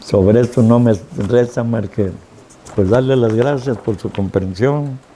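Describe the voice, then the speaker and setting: Noticeable background noise accompanies a man of medium pitch who talks at a fairly slow pace with ordinary pitch variation. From Mexico, Tuxpan, Veracruz. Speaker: city chronicler and local historian. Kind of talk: historical narration. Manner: stammers at times; formal.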